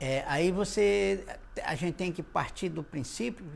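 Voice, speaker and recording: Here a man speaks fairly slowly at a fairly high pitch. His pitch swings very widely. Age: 60s. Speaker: cordel poet. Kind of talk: interview. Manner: halting.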